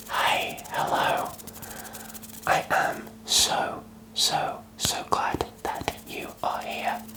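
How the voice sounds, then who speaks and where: A man whispers at a very slow pace in a relaxed tone. Background noise is noticeable. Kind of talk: ASMR whispered ramble. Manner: whispered, soft, relaxed.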